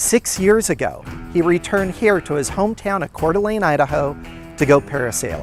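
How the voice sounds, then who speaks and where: Speech moves at a fairly quick pace. Background music is playing. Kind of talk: TV news feature narration.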